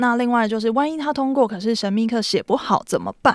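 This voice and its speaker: In a very clean recording with a silent background, a woman with a Taiwanese accent talks at a fairly quick pace, her fairly high pitch showing ordinary variation. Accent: Taiwanese Mandarin. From Taiwan, Taipei. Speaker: startup founder. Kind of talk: interview.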